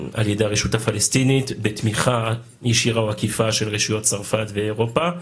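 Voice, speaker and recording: Over noticeable background noise, a man with a fairly low pitch talks at a fairly slow pace, keeping his intonation fairly even and his loudness very even. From France. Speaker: legislator chairing a meeting. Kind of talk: meeting moderation.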